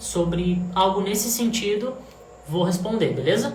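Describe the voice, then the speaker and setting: A man talks at a fairly slow pace in a high pitch. There is audible room echo and noticeable background noise. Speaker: singing teacher. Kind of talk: livestream voice lesson. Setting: Instagram live.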